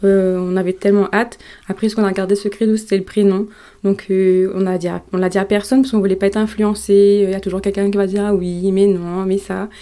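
A woman with a dark, mellow tone and medium pitch talks very fast in a monotone, flat intonation. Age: 20s. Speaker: mother sharing birth story. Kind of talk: testimony. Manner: hesitant, many fillers.

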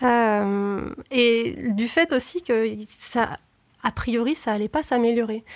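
A woman speaks very slowly, her fairly high voice rising and falling in an ordinary way. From southern France. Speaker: former neuroscience researcher. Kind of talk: interview. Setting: studio.

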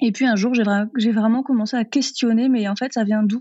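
A woman with an unremarkable speaking voice and a fairly high pitch talks at a fairly quick pace with ordinary pitch variation. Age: 30s. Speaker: vegan cooking content creator and trainer. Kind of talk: interview.

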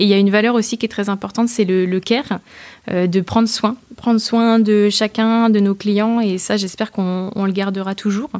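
On a very clean recording with a silent background, a woman speaks at a medium pitch. She keeps a moderate pace and a monotone, flat intonation. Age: 20s. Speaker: startup founder. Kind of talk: interview.

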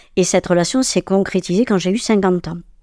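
A woman speaks at a moderate pace in a medium pitch with a dark, mellow tone and ordinary pitch variation, on a very clean recording with a silent background. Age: 70s. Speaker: retired holistic therapist and medium. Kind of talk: interview. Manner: halting.

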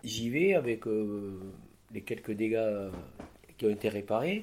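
A man speaks at a very slow pace. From southwest France, Lot-et-Garonne. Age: 60s. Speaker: crane operator. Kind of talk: interview.

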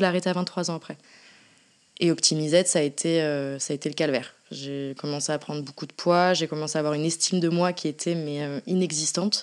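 A woman's fairly low voice at a fairly quick pace, with fairly even intonation. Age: 20s. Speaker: endometriosis patient sharing her story; artist. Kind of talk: testimony. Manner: hesitant, many fillers.

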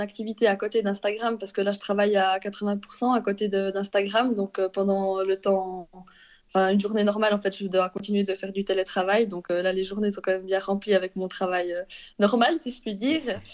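Against a quiet background, a woman with a medium-pitched voice speaks at a moderate pace in a flat, monotone delivery. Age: 30s. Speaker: Instagram influencer. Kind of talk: interview. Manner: laughing often.

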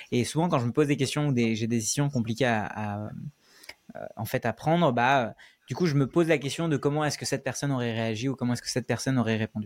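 Medium in pitch, a man speaks at a very fast pace with ordinary pitch variation. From Paris suburbs, France (born in India). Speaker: YouTuber and no-code trainer. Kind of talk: interview. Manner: hesitant, many fillers.

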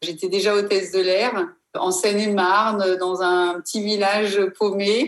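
A woman talks at a fairly slow pace in an ordinary speaking voice. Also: medium pitch for a woman, fairly even intonation. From Africa. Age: 50s. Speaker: former reality TV contestant. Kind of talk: testimony.

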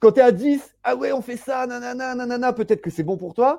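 A man's dark, mellow voice with very wide pitch swings at a moderate pace, dry and close with no echo, over a quiet background. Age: 30s. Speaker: web3 entrepreneur and incubator co-founder. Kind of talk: casual interview. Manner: casual, many fillers and hesitations.

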